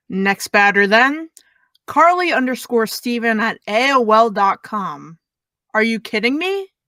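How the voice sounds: A put-on character voice, bright and sharp in tone, with big pitch swings and a fairly slow pace. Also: woman, fairly high pitch for a woman.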